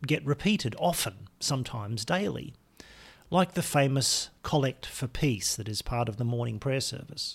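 A man speaks at medium pitch in a somewhat breathy voice with lively intonation. The recording is very clean, with a silent background. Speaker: podcast host. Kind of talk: reading aloud prayers, casual intro. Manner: measured, reverent, slow in prayers; conversational, warm.

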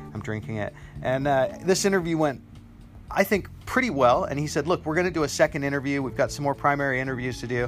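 Over music in the background, the speaker goes at a very fast pace with ordinary pitch variation. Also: man, fairly high pitch for a man. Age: 40s. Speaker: podcaster. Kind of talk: casual monologue. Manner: hesitant with fillers.

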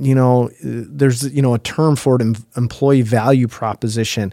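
Recorded very cleanly with a silent background, a man with a Minnesota accent speaks at a moderate pace in a medium pitch with a dark, mellow tone. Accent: Upper Midwest (Minnesota). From northwest Minnesota. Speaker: human resources executive, former educator. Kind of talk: interview conversation.

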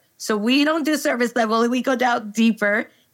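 A woman with an American accent at a moderate pace, on a very clean recording with a silent background. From Texas, El Paso. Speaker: organizational psychologist. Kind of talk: interview conversation.

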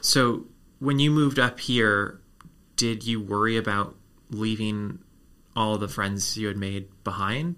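Pausing long and often, a man with a fairly low pitch and bright, sharp tone talks at a fairly slow pace with ordinary pitch variation. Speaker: podcast host. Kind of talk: interview.

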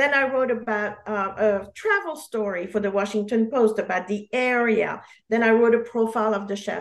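With a French accent, a woman with a fairly high pitch talks with fairly even intonation and hardly any pauses. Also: moderate pace. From Geneva, Switzerland. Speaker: memoirist author. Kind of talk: casual interview.

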